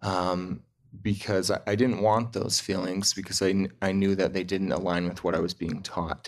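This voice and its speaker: In an American accent, a man with a very deep, low pitch speaks at a moderate pace with monotone, flat intonation over a quiet background. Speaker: insurance agent. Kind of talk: testimony.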